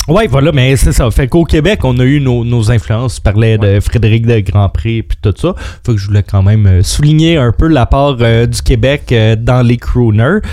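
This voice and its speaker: A man's dark, mellow voice at a medium pitch, moderate in pace, with lively intonation, very even loudness and hardly any pauses. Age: 30s. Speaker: radio co-host. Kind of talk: quiz hosting; casual radio chat.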